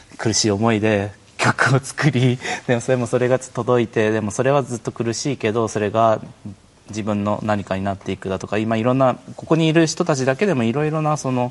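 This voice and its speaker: A man talks at a fairly quick pace with a medium pitch. His pitch variation is ordinary, and there is noticeable background noise. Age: 30s. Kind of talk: live stream panel talk. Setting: internet live stream.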